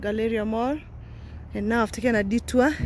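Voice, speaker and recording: There is noticeable background noise. A woman speaks with a fairly high pitch. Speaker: vlogger. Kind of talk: walking vlog. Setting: outdoors, walking. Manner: animated.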